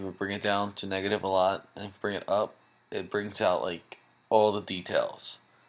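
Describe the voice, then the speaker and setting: A man speaks in a soft-spoken way. His pitch is fairly low. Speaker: software tutorial maker. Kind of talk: tutorial. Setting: home at night, others sleeping. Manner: soft-spoken, talking low; casual.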